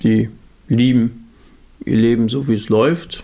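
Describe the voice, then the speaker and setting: His tone is dark and mellow, at a medium pitch. The man speaks at a moderate pace. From Germany, central Hesse. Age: 50s. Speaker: evangelist. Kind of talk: casual chat.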